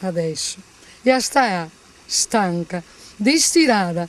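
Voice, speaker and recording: A woman talks with a Venetian accent and lively intonation. Noticeable background noise is present. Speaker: actress. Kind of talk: poetry reading.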